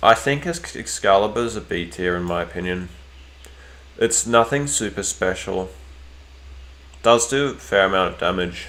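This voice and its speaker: A man with an Australian accent, fairly low-pitched, at a moderate pace, with lively intonation and long, frequent pauses. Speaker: gaming streamer. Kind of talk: casual live stream commentary. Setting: live stream. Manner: hesitant, many fillers and repeats.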